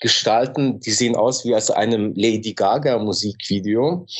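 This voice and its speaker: The speaker has a slight Swiss German accent and ordinary pitch variation. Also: man. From Switzerland. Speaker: musician. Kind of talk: casual interview chat. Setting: remote call from Istanbul.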